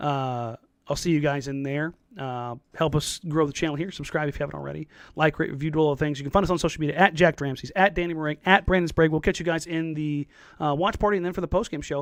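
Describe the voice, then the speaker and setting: A man's very fast, fairly high-pitched speech with fairly even intonation, in a dry, close sound with no echo and a quiet background. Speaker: sports podcast host. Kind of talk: casual podcast outro. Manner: casual, halting with fillers.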